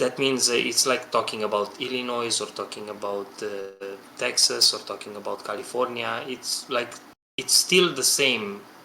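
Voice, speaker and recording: A man speaks at a moderate pace with a non-native accent. His pitch is medium, with ordinary variation. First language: not English. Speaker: game developer. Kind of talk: podcast discussion. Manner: halting.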